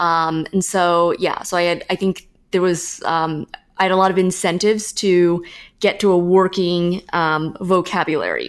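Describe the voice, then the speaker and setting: A woman with a Californian accent speaks at a moderate pace and a fairly low pitch, with monotone, flat intonation. The recording is very clean, with a silent background. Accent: General American (Californian). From US West Coast, San Francisco Bay Area. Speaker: marketing consultant. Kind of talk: interview. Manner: frequent fillers and repetitions.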